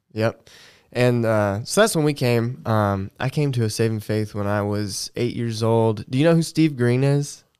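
A man with an American accent and a plain, everyday voice, medium in pitch, at a moderate pace, on a very clean recording with a silent background. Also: ordinary pitch variation. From US South, Augusta, Georgia. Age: 30s. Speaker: church co-host. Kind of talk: casual chat.

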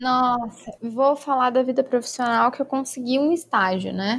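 Her pitch high and varying in an ordinary way, a woman speaks at a moderate pace. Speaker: podcast co-host. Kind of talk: casual chat. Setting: virtual call.

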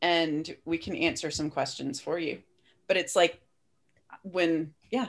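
A woman speaks in an unremarkable speaking voice with a fairly low pitch. She goes at a fairly slow pace against a quiet background. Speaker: podcast host. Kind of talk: casual chat.

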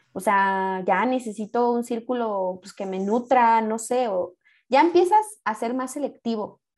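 In an ordinary speaking voice, a woman talks fairly slowly at a fairly high pitch, with ordinary pitch variation and big swings in loudness. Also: very clean recording, silent background. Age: 20s. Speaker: podcast guest. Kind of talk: casual chat.

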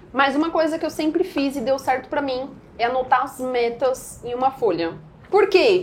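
A woman's moderately paced speech with lively intonation. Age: 20s. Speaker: day trader. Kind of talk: podcast interview.

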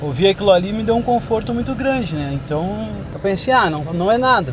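Lively intonation carries a moderate pace over noticeable background noise. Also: man. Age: 30s. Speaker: cancer survivor. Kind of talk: testimony. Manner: halting.

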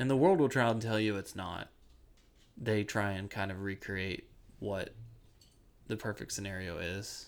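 This man has a fairly low pitch and an American accent, with ordinary pitch variation at a moderate pace. He leaves long, frequent pauses, and the recording is very clean with a silent background. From Ohio, US Midwest. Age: 20s. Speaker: construction worker. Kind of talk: casual chat. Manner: halting, many fillers.

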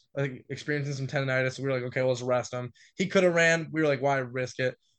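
Against a quiet background, a plain, everyday voice speaks with fairly even intonation. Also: man. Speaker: college sprinter. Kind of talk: casual interview chat.

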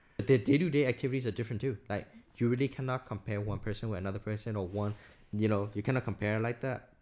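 A man with a Burmese accent speaks very fast at a medium pitch with ordinary pitch variation, in a very clean recording with a silent background. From Myanmar. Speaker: podcast guest, recent graduate. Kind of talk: casual chat.

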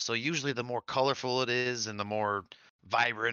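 A man with an American accent talks at a fairly quick pace in a medium pitch, his intonation fairly even. He has an unremarkable speaking voice. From Michigan. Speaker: podcast co-host. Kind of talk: casual chat.

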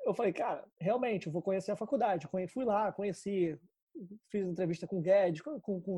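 Pitched high with a dark, mellow tone, a man speaks at a very fast pace. His pitch varies in an ordinary way. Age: 20s. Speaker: marketing professional. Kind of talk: podcast interview. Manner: casual, animated.

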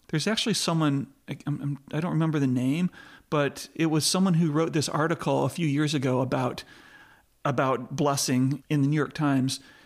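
A man with an American accent talks at a fairly quick pace in a fairly high pitch, with an unremarkable speaking voice. The recording is very clean, with a silent background. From US, not the South. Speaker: pastor and entrepreneur. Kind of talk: casual interview.

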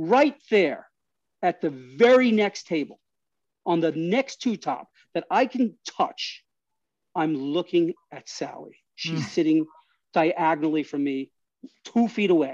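Speaking at a fairly slow pace with long, frequent pauses, a man with a New York accent uses a high pitch, lively intonation and an animated tone, in a dry, close sound with no echo. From New York City, Astoria, Queens. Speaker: guest storyteller. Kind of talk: casual interview storytelling. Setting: outdoor patio.

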